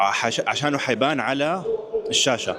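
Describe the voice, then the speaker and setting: Background noise and room echo can both be heard. The talking proceeds at a moderate speed. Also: man. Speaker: fitness vlogger and powerlifting referee. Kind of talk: vlog narration. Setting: powerlifting competition venue.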